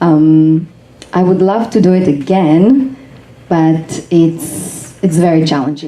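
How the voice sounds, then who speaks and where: A woman with a non-native accent and fairly low pitch, very slow pace, long, frequent pauses, ordinary pitch variation and very even loudness, amid audible room echo and noticeable background noise. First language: not English. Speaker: actress and filmmaker. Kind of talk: panel discussion.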